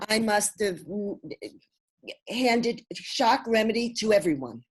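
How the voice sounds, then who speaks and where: A woman at fairly high pitch with vocal fry, ordinary pitch variation and a fairly slow pace. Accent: Brooklyn. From US Northeast, Brooklyn. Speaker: homeopath and naturopath. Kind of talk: interview.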